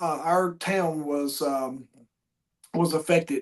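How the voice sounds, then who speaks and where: This man has an American accent and a high pitch. He talks at a fairly slow pace. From Southwest Virginia. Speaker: podcast host. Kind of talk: casual interview chat. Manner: halting, many fillers.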